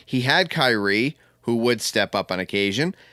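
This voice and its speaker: Bright, sharp male speech, very clean and set against complete silence. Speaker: sports podcast host. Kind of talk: casual chat. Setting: at home.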